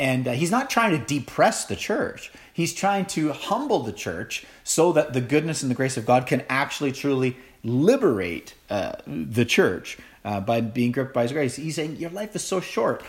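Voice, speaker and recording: A man with a fairly high voice speaks with vocal fry and very wide pitch swings. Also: moderate pace. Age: 40s. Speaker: pastor. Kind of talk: sermon.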